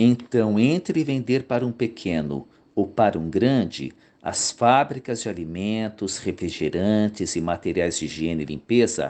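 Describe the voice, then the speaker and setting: A man with a fairly low pitch uses lively intonation at a very slow pace. The background is quiet. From Brazil, São Paulo. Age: 60s. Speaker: YouTube commentator, former accounting teacher. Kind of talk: narrated commentary video.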